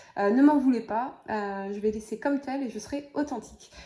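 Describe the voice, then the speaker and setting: A woman's high-pitched voice with a dark, mellow tone, a moderate pace and ordinary pitch variation. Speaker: tarot reader. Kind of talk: tarot reading. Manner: hesitant fillers.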